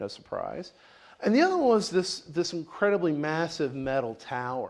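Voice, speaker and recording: With a Southern US accent, a man speaks with lively intonation. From US South, Tennessee, rural. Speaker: researcher presenting on atheism. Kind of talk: lecture. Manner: halting, many fillers and repeats.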